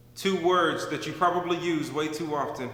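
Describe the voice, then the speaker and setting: A man speaks with a fairly high pitch. Noticeable background noise sits behind him. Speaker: former NFL fullback, author and motivational speaker. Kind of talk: spoken word poem, motivational.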